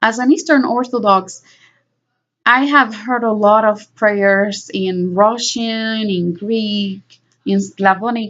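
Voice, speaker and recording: A woman with a Spanish accent, fairly high-pitched, at a very slow pace. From Puerto Rico. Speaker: vlogger. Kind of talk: personal monologue. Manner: halting.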